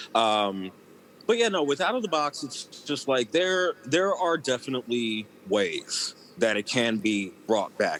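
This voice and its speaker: Using a plain, everyday voice, a man talks at medium pitch with lively intonation. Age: 30s. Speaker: former children's TV cast member. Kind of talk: casual interview.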